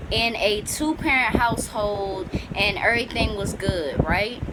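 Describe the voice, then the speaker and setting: A woman with an American accent speaks at a very slow pace and a fairly high pitch. Her pitch variation is ordinary, and there is noticeable background noise. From Washington, D.C., US. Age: 20s. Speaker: YouTuber. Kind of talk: opinion vlog monologue. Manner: casual, conversational.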